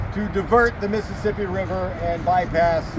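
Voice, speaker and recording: Noticeable background noise and audible room echo behind a man speaking at a moderate pace. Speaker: historian and battlefield tour guide. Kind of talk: outdoor guided tour talk. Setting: outdoors. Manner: loud.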